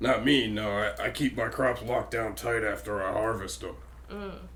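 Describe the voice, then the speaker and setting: A man puts on a character voice and keeps a moderate pace, with clear background noise behind him. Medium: actual play. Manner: evasive, gruff.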